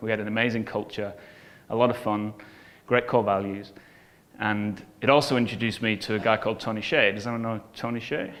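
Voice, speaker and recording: With an English accent, a man speaks at a medium pitch in a monotone, flat way, at a fairly quick pace broken by long, frequent pauses. Room echo is audible. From northern England (Bolton). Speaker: business coach and entrepreneur. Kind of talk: conference talk.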